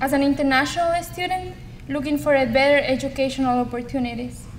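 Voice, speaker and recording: With a strong Ecuadorian accent, a woman speaks fairly quickly at a high pitch and with fairly even intonation, amid noticeable background noise and audible room echo. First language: Spanish. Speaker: community college student. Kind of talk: speech. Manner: formal.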